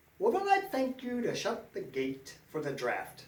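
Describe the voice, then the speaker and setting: Putting on a character voice, a man speaks at a moderate pace with an extremely high, squeaky pitch. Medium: read story. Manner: wheedling, sly.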